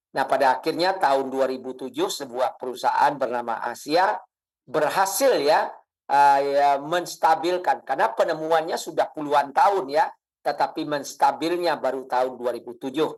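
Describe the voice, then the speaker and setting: This man has an ordinary speaking voice at a fairly high pitch. He talks at a moderate pace with ordinary pitch variation. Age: 60s. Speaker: product distributor presenter. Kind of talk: sales pitch.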